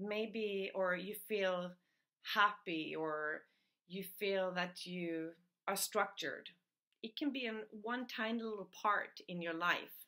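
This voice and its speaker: A woman with a non-native accent speaks very slowly at a medium pitch. Her tone is bright and sharp, with ordinary pitch variation. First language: not English. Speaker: personal development coach. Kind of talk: video talk / tutorial.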